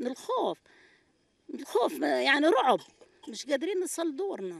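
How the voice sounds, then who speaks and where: Against a quiet background, a woman talks at a moderate pace with very wide pitch swings and a dry sound with no echo. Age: 60s. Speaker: displaced person, retired UN agency teacher; retired UN agency teacher. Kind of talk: street interview testimony. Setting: outdoors at night in displacement camp. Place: tent. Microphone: handheld.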